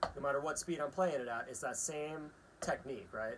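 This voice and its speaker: Through noticeable background noise, a man talks at a fairly quick pace in a fairly high pitch with ordinary pitch variation. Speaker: drum teacher. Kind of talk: tutorial. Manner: casual, frequent filler 'right?'.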